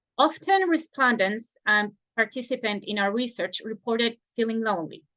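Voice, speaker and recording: A high-pitched woman with a Spanish accent at a moderate pace, in a dry, close sound with no echo. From Chile, Viña del Mar. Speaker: non-profit board president. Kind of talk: presentation. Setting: recorded online event.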